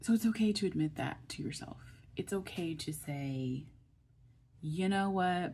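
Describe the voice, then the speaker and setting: A woman speaks somewhat breathily at a fairly slow pace, her pitch fairly low with ordinary variation, and she leaves long, frequent pauses. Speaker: online video creator. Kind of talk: motivational talk to camera. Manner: emphatic, repetitive.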